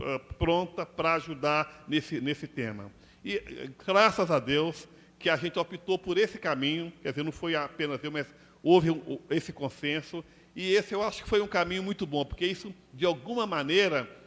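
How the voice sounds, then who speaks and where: A man talks at a moderate pace, his voice high for a male and his pitch moving in an ordinary way. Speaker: NGO director. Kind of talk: panel talk. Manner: halting.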